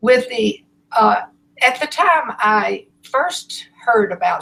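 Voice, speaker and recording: This is a woman talking. Her pitch sits fairly high. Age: 80s+. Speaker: author and philanthropist. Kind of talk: interview.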